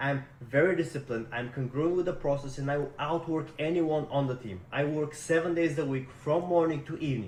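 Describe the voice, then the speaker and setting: A man with a Russian accent and a fairly high pitch talks at a fairly quick pace, with ordinary pitch variation and hardly any pauses. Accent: Russian-sounding. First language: not English. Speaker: sales rep job seeker. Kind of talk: recorded self-introduction video. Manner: energetic.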